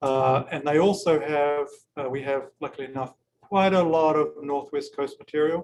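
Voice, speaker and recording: A man with a New Zealand accent, fairly high pitch, fairly even intonation and a moderate pace. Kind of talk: informal virtual gallery tour with Q&A. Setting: video call. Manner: hesitant, many fillers and repeats.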